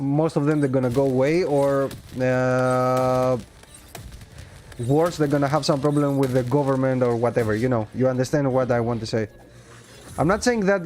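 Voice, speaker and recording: A man speaks at a fairly high pitch with fairly even intonation, very even loudness, and long, frequent pauses. Noticeable background noise is present. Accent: Greek. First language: Greek. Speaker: gaming livestreamer. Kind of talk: casual livestream commentary. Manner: halting.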